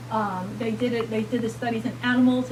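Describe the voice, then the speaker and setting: A woman speaks with a New York accent. Her voice comes with noticeable background noise and audible room echo. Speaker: physician speaker. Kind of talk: lecture. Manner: animated.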